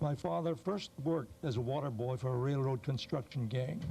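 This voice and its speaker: A man's somewhat breathy voice with a dark, mellow tone, ordinary pitch variation and a moderate pace. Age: 70s. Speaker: retiree testifying at a hearing. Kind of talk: testimony. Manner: formal.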